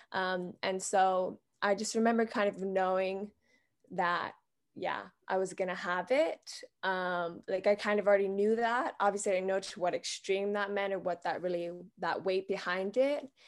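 A plain, everyday voice with fairly even intonation comes through over a quiet background. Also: woman, medium pitch for a woman, moderate pace. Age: 20s. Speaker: heart disease patient and nonprofit co-founder. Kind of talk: interview.

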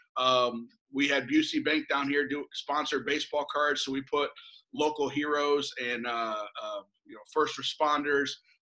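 In a Midwestern American accent, a man speaks at a fairly high pitch. His intonation is fairly even and his pace fairly slow. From central Illinois. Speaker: baseball play-by-play broadcaster. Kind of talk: casual interview.

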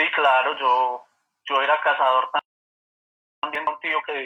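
A man's fairly high voice with fairly even intonation at a fairly slow pace. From Colombia, Manizales. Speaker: birding guide. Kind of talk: casual interview chat.

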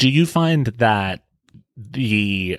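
With an American accent, this man shows ordinary pitch variation. The background is silent and the recording very clean. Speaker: podcast host. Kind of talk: casual conversational discussion. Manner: animated, chatty.

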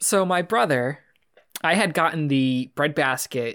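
Heard in a very clean recording with a silent background, a man talks in a plain, everyday voice at a fairly high pitch, with ordinary pitch variation. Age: 20s. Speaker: podcast host. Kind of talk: casual chat.

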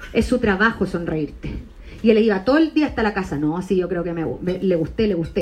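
A woman with a Chilean accent speaks at a fairly quick pace with lively intonation over noticeable background noise. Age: 30s. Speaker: stand-up comedian. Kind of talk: stand-up. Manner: animated.

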